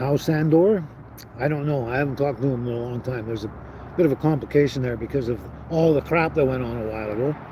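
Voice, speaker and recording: A man with a medium pitch talks at a very fast pace with ordinary pitch variation. Noticeable background noise can be heard. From western Canada (British Columbia). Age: 60s. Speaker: live stream host. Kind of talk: casual chat. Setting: live stream.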